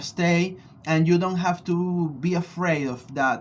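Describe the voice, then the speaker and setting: A man with a Venezuelan accent, very slow pace and fairly even intonation. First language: Spanish. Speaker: spiritual practitioner and vlogger. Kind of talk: personal video blog answering questions. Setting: studio. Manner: halting, many fillers.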